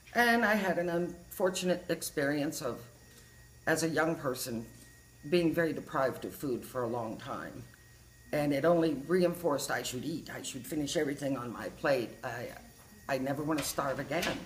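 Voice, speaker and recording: A woman speaks at a moderate pace in a very deep, low pitch with ordinary pitch variation. Audible room echo surrounds her voice. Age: 60s. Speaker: patient giving a testimonial. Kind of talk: testimony. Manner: conversational, chatty.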